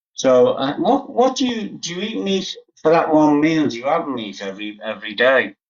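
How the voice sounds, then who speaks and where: At a moderate pace, a man with a Liverpool accent speaks at a fairly high pitch with very wide pitch swings. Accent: Liverpool (Scouse) English. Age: 80s+. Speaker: vegan live-stream host. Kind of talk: casual chat.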